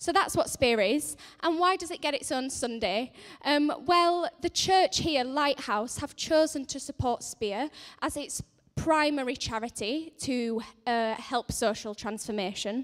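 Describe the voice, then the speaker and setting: Someone with a Yorkshire accent speaks at a fairly slow pace with lively intonation. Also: woman, high pitch for a woman. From northern England, Leeds. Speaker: charity centre manager. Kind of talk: church announcement talk. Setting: church service. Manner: hesitant with many fillers.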